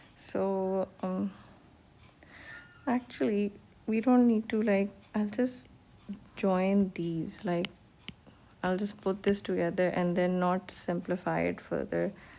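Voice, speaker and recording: Speaking at a very slow pace with long, frequent pauses, a woman with a Pakistani accent uses a medium pitch, fairly even intonation and a dark, mellow tone. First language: Urdu. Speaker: economics teacher. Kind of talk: lecture. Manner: hesitant, many fillers.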